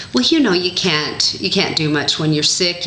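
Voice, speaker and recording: Talking fairly quickly at a fairly low pitch, a woman is heard with audible room echo and noticeable background noise. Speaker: diet vlogger. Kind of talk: casual vlog.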